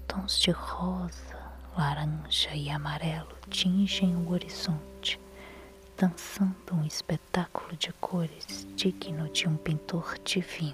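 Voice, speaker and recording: Music plays in the background. A woman speaks very slowly in a soothing tone. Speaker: ASMR sleep narrator. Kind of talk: guided meditation. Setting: headphones, studio recording with nature sounds. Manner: slow, soft, soothing.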